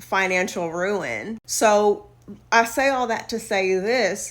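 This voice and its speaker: In a Southern US accent, a woman speaks at a very slow pace. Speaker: social media influencer. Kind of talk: casual advice monologue. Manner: animated.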